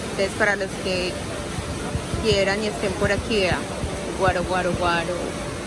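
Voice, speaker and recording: Over loud background noise, a woman talks at a fairly slow pace in a dry sound with no echo. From Medellín, Colombia. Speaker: travel vlogger. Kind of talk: casual talk to camera. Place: hall. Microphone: phone near.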